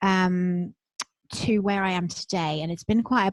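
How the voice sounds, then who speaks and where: With a British accent, a woman speaks at a moderate pace and fairly low pitch with ordinary variation, in a dry, close sound with no echo. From England. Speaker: spiritual business coach. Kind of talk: casual interview.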